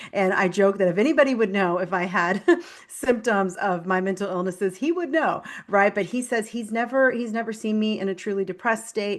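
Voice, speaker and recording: The delivery moves at a fairly quick pace with an energetic tone. Pitch varies in an ordinary way. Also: woman, medium pitch for a woman. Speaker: functional nutritionist and health coach. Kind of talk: interview conversation. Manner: fast.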